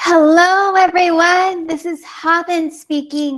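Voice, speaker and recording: A woman with an American accent and monotone, flat intonation. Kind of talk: panel interview. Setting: video call from living room.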